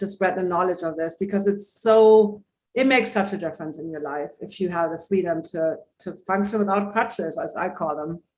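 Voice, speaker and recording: Using an ordinary speaking voice, a woman of medium pitch talks at a fairly quick pace. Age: 60s. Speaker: holistic vision coach. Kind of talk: interview.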